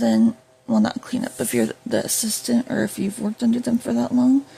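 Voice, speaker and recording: The voice is quiet and moves at a fairly quick pace. Noticeable background noise sits behind it. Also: woman. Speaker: YouTuber. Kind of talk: casual vlog monologue. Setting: at home while food cooks. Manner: hesitant, many fillers.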